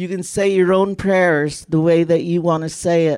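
In a very clean recording with a silent background, a woman talks in a fairly low pitch with monotone, flat intonation. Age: 70s. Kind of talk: prayer. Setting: outdoors.

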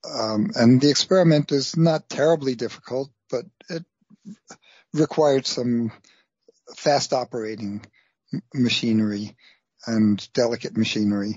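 Long pauses come often in this speech. It goes at a moderate pace, and its pitch varies in an ordinary way. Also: man, medium pitch for a man. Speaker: science writer. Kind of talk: interview.

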